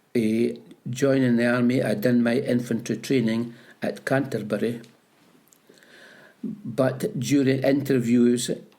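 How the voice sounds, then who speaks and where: A man with a Scottish Borders accent, dark and mellow, medium-pitched, with fairly even intonation at a very slow pace. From Scotland, Peebles (Scottish Borders). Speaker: retired postmaster and army veteran. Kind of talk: oral history interview. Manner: halting.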